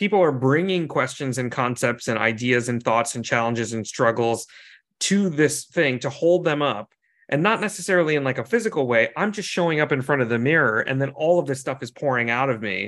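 Against a quiet background, a man with a normal speaking voice talks at a fairly quick pace, medium in pitch, with lively intonation. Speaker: podcast host. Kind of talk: casual interview.

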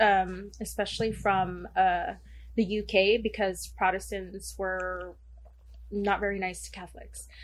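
A woman talks with a Southern California accent. Her pace is fairly slow. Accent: Valley Girl. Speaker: fellow podcaster guest. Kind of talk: casual chat. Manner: frequent filler 'like'.

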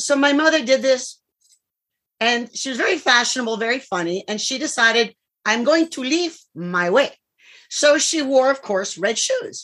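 In a very clean recording with a silent background, a woman with a Cuban-American accent speaks in an animated, bright, sharp tone at a high pitch. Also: lively intonation, moderate pace. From US, Florida (Cuban-born). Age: 60s. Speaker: clinical psychologist and public speaker. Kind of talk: interview. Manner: lively, animated.

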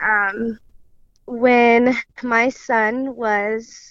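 A woman speaks with an American accent and fairly even intonation. The sound is dry and close with no echo, over a quiet background. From central Illinois. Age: 20s. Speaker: daughter of murder victim, daycare worker. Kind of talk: interview testimony.

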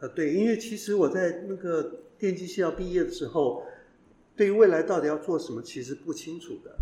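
A man's dark, mellow tone at a moderate pace. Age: 60s. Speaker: professor, former executive. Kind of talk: interview. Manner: hesitant, many fillers.

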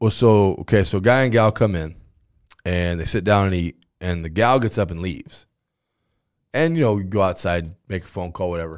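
Pausing long and often, a man with an American accent speaks at a moderate pace in a very deep, low pitch with ordinary pitch variation. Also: very clean recording, silent background. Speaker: high school football coach. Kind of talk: casual chat. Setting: studio. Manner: loud.

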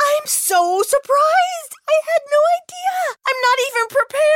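A woman's put-on character voice at an extremely high pitch, delivered at a moderate pace. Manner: gushing, overwhelmed.

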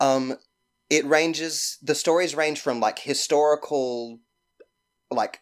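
The speaker has a Mississippi accent. The delivery is fairly slow. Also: man. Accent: Southern US (Mississippi). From US South, Mississippi (Petal, near Hattiesburg). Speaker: actor and singer. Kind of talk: casual storytelling chat.

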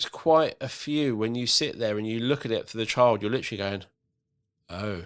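Recorded very cleanly against a silent background, a man with an English accent talks at a fairly quick pace, his medium pitch showing ordinary variation. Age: 30s. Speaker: podcast host and company director. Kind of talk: casual chat. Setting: podcast recording.

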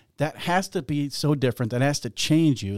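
A man speaks at a fairly quick clip with an American accent, his tone dark and mellow. His intonation is lively, and the recording is very clean with a silent background. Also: dry, close sound with no echo. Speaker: podcast co-host. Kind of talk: casual chat.

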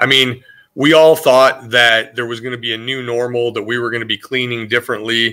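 On a very clean recording with a silent background, a man with an American accent speaks at a fairly quick pace and medium pitch, in a monotone, flat intonation and a bright, sharp tone. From US Midwest, northern Iowa. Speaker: facility manager. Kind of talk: interview.

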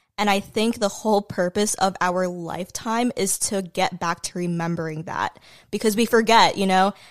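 In a very clean recording with a silent background, a woman with a plain, everyday voice speaks at a medium pitch and a moderate pace, her intonation fairly even. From US, immigrated from the Philippines as a small child. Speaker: social media content creator. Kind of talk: casual chat. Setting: at her home.

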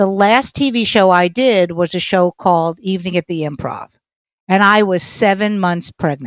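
A woman talks with a New York accent in a dry, close sound with no echo. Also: medium pitch for a woman, ordinary pitch variation, moderate pace. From Brooklyn, New York. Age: 60s. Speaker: stand-up comedian. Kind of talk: casual interview.

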